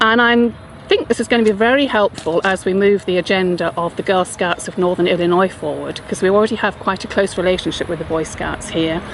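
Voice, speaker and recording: With an English accent, a woman races along at a very fast pace with hardly any pauses, her medium pitch showing ordinary variation over noticeable background noise. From England, southwest London. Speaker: non-profit chief executive. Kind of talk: video self-introduction.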